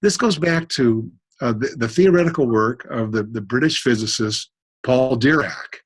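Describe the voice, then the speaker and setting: At a moderate pace, this somewhat breathy voice carries lively intonation. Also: man, medium pitch for a man. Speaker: cosmologist. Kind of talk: interview. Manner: halting, stuttering.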